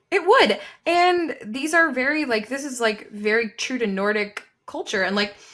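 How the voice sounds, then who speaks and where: A woman speaks at high pitch with an American accent, a bright, sharp tone and very wide pitch swings. Her animated tone moves at a moderate pace. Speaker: book podcast co-host. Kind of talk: casual chat.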